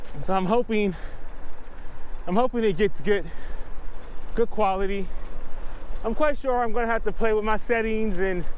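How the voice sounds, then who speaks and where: A man speaks at a moderate pace in a high pitch, with fairly even intonation and long, frequent pauses. Light background noise is present, and the sound is dry with no echo. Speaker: cyclist vlogger. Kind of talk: casual vlog chat. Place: bicycle. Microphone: lapel.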